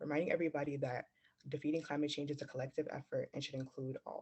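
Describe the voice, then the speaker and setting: A man talks at a very fast pace in a fairly high, somewhat breathy voice. His intonation is monotone and flat. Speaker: youth climate ambassador. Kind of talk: prepared speech.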